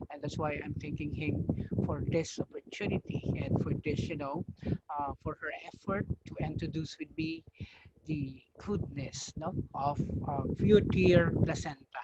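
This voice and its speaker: A man's fairly high-pitched voice at a fairly slow pace, with ordinary pitch variation, in a dry, close sound with no echo. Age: 40s. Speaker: product user giving testimony. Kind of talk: testimony. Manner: hesitant, many fillers. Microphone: too quiet at first.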